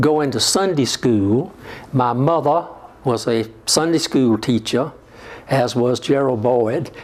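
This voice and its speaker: In a South Carolina Lowcountry accent, a man speaks very slowly at a medium pitch, with ordinary pitch variation and very even loudness. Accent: US Southern, South Carolina Lowcountry. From South Carolina Lowcountry (Georgetown). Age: 70s. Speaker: retired politician and church parishioner. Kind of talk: oral history interview. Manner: halting, frequent fillers.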